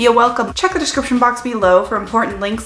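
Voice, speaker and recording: The speech has ordinary pitch variation, and audible room echo surrounds it. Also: woman. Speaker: product reviewer. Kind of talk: casual vlog chat. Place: home room.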